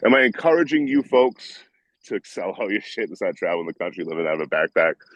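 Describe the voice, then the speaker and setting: This man has a Boston accent. He speaks at a very fast pace. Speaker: train-hopping traveler. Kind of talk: casual live stream chat. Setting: video call. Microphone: streaming through Zoom on laptop.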